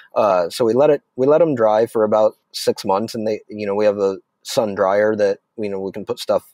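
A man with a plain, everyday voice and an American accent, fairly low in pitch with ordinary pitch variation, in a very clean recording with a silent background and a dry, close sound with no echo. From Arizona. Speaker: chef and restaurant owner. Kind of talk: casual chat.

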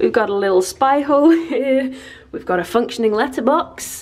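A woman's high-pitched voice swings very widely in pitch. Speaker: vlogger. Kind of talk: casual vlog chat. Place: home room. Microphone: phone near.

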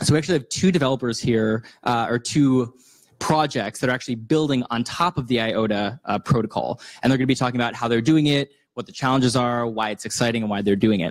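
A man rattles along at a very fast pace against a quiet background. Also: ordinary pitch variation. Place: hall. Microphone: handheld.

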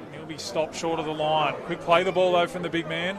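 A man talks at a fairly quick pace, with noticeable background noise audible throughout. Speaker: rugby league commentator. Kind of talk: live sports commentary on a match, play-by-play. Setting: rugby league match broadcast.

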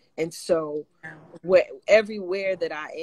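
In an American accent, a woman talks at a fairly low pitch against a quiet background. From New York. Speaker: gospel singer; guest. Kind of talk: casual chat. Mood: warm, animated testimony. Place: home room. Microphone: video call.

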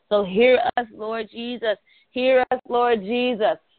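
A woman speaks in an animated tone against a quiet background. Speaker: prayer call leader. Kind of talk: prayer call; fervent prayer, repetitive and rhythmic. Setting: phone conference call. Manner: fervent, impassioned, building in cadence with repeated phrases; animated, preacher-like. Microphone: phone line.

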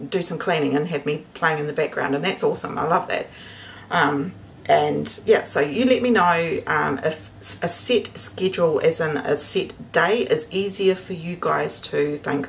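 A woman speaks at a moderate pace. Light background noise runs behind her. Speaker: homestead vlogger. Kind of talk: casual vlog chat. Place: kitchen. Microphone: phone near.

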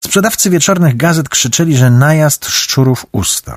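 Somewhat breathy and dramatic in tone, a man speaks on a very clean recording with a silent background. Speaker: audiobook narrator. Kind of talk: audiobook narration. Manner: dramatic, varied pacing and voices.

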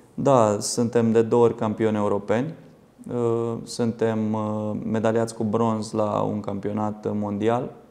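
A man talks very slowly at a fairly low pitch in a dark, mellow tone. His intonation is monotone and flat. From Romania. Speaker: football coach and former lawyer; football coach, former lawyer. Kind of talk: studio interview. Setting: TV studio. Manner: halting, repeats words. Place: studio. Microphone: lapel.

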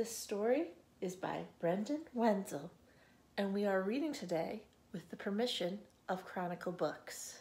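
A woman speaks fairly slowly in a somewhat breathy, gentle, warm, dark and mellow tone, with long pauses that come often. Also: ordinary pitch variation. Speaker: librarian. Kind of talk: children's storytime reading aloud. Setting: video recording from a library. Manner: slow, rhythmic, gentle cadence with pauses between repeated lines; warm, friendly, welcoming to children. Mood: gentle, warm, expressive. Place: home room. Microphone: phone near.

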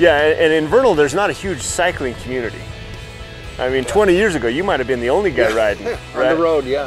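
Over clear background music, a man talks at a very fast pace with ordinary pitch variation, the sound dry with no echo. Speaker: TV host interviewer. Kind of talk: interview questions. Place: street. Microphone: lapel.

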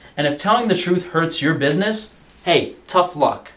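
A man's high-pitched voice in an animated tone, with ordinary pitch variation. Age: 20s. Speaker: YouTuber and meat business owner; YouTuber. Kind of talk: rant reading from a lawsuit. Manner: sarcastic, animated. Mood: indignant, combative. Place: home room.

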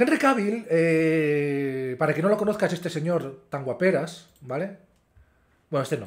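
Against a quiet background, a man speaks with lively intonation. His pitch is fairly high and his pace fairly slow. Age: 30s. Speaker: YouTuber. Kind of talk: casual vlog commentary. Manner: hesitant, with fillers.

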